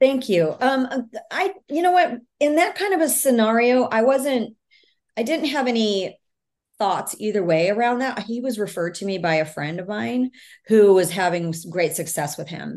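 A woman speaks at a moderate pace with a fairly high pitch. Her pitch swings very widely. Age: 50s. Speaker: author and speaker on trauma healing. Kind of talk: interview.

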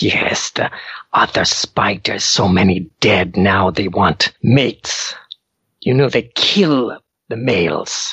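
A man puts on a raspy, hissing character voice pitched fairly low. He speaks at a fairly slow pace. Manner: urgent, anxious.

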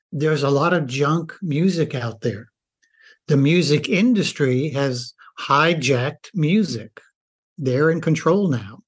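A man with an American accent speaks fairly slowly in a fairly high, somewhat breathy voice with ordinary pitch variation. The background is quiet. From rural US. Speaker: doctor and author. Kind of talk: interview.

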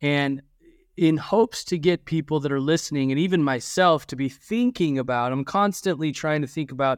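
A normal speaking voice comes from a man with a fairly high pitch at a fairly quick pace, the sound dry and close with no echo and the background quiet. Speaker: podcast host and leadership coach. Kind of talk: casual chat.

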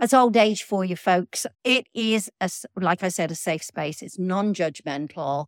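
With a normal speaking voice, a woman talks at a moderate pace with a fairly low pitch and ordinary pitch variation, in a very clean recording with a silent background and a dry, close sound with no echo. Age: 60s. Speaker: podcast co-host, sober community member. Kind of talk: casual chat. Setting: in a living room, in person.

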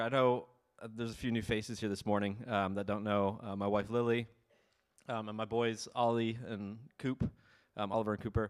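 With a normal speaking voice and an American accent, a man of medium pitch talks at a fairly quick pace with fairly even intonation on a very clean recording with a silent background. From US Northeast, Ulster County, New York. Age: 30s. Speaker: missionary. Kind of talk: sermon. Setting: church. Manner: casual, many filler ums.

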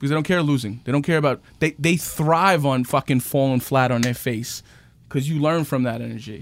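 A man with a New York accent, fairly high in pitch, fairly quick, with ordinary pitch variation, on a very clean recording with a silent background. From New York City, Queens. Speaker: real estate agent. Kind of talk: casual interview. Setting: studio. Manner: animated.

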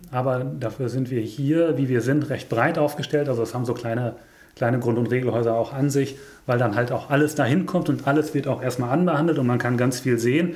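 A somewhat breathy man speaks at a fairly quick pace, medium in pitch, with fairly even intonation. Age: 30s. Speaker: nursing director. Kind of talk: casual interview.

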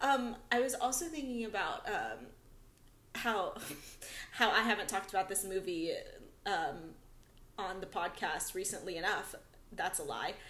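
A woman's lively intonation broken by long, frequent pauses, with audible room echo. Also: medium pitch for a woman, moderate pace. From Filipino heritage. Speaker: podcast co-host. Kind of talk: casual chat.

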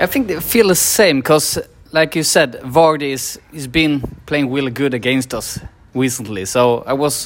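Speaking in a Swedish accent, a man uses a fairly high pitch with ordinary pitch variation. His pace is moderate. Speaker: podcast host. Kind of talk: casual chat. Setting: pub before a match.

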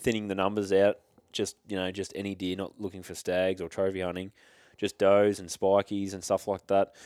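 With an Australian accent, a man talks at a moderate pace and fairly low pitch on a very clean recording with a silent background. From Victoria, Australia. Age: 20s. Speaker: hunter. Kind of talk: casual chat.

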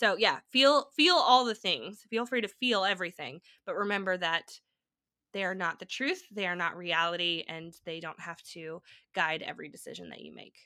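On a very clean recording with a silent background, a woman speaks at a moderate pace with medium pitch, a bright, sharp tone, lively intonation and big swings in loudness. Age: 30s. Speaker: travel content creator. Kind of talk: casual interview chat.

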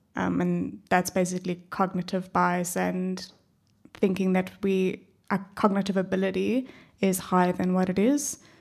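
A woman's medium-pitched voice in a South African accent, at a moderate pace with fairly even intonation, in a very clean recording with a silent background. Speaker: panelist. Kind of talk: live panel discussion. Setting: stage with audience.

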